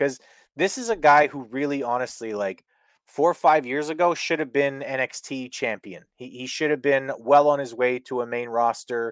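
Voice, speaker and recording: On a very clean recording with a silent background and a dry, close sound with no echo, a man in a normal speaking voice talks at a moderate pace and medium pitch, with ordinary pitch variation and big swings in loudness. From Canada. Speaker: wrestling podcast co-host. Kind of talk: casual chat.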